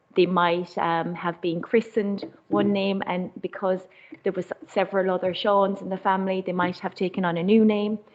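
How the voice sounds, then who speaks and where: A woman speaks in an Irish accent at a medium pitch. Her intonation is monotone and flat, and her pace is moderate. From Ireland. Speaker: community charity worker. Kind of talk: panel talk. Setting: council chamber meeting. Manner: halting.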